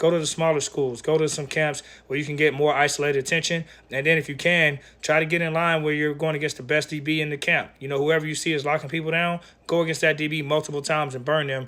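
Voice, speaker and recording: A man talks at a very fast pace in a fairly high, bright and sharp voice, his intonation monotone and flat, on a very clean recording with a silent background. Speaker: football recruiting advisor. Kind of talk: advice video.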